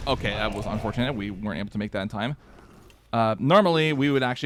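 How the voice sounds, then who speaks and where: A man, with noticeable background noise. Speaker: video game streamer. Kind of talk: live gameplay commentary. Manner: fast; hesitant fillers.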